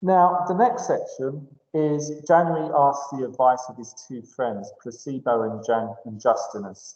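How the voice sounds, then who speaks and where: Using an ordinary speaking voice, a man with a fairly high pitch speaks at a fairly slow pace with lively intonation, hardly any pauses and big swings in loudness. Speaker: English teacher. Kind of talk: lecture.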